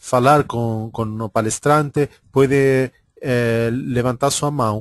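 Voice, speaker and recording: A man at a very slow pace with an Argentine accent, medium pitch and fairly even intonation, in a dry, close sound with no echo and a quiet background. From Argentina. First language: Spanish (speaking Portuguese). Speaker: webinar coordinator and moderator. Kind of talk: webinar introduction. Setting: online webinar. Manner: halting, many fillers.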